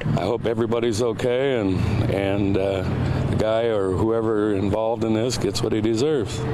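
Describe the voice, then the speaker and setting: A man at a moderate pace with fairly even intonation, over loud background noise. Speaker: eyewitness, local resident. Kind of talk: interview answer. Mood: shocked, disapproving. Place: open country. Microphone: handheld.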